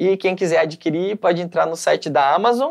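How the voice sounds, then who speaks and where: Over a quiet background, a man talks with a high pitch. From Canoinhas, Santa Catarina, southern Brazil. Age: 30s. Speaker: actor. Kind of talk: interview. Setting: studio.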